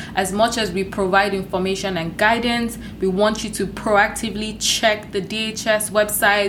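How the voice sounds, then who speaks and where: Amid noticeable background noise and audible room echo, a woman speaks slowly-ish at a medium pitch, her intonation flat and monotone. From Nigeria. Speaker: podcast co-host, international student. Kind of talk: scripted disclaimer; casual chat.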